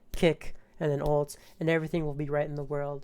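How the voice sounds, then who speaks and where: Talking at a fairly quick pace, a woman uses a very deep, low voice. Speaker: gaming content creator. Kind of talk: gameplay tutorial commentary. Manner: stuttering at times.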